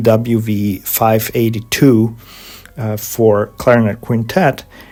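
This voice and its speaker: This man speaks with a Hungarian accent in a monotone, flat intonation. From Hungary, Budapest. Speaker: organist and composer. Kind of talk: interview. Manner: halting.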